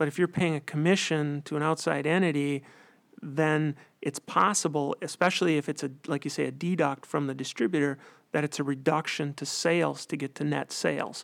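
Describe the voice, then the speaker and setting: Fairly quick speech from a man with a Wisconsin accent, fairly high in pitch with fairly even intonation, on a very clean recording with a silent background. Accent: Upper Midwest (Wisconsin). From central Wisconsin. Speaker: accountant. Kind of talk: interview.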